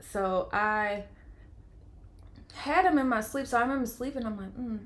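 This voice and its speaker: Audible room echo surrounds a woman's voice. Her tone is animated and her pitch fairly high. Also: ordinary pitch variation. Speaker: vlogger. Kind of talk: personal storytelling. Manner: fast.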